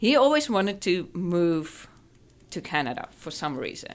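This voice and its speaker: With a South African accent, a woman speaks at a fairly low pitch. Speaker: dentist. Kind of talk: podcast interview.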